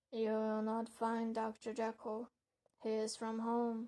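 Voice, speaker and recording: In a put-on character voice, a woman hisses and rasps hoarsely at a fairly high pitch, moving at a fairly slow pace with flat, monotone intonation. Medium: read story. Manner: curt, guarded, defiant.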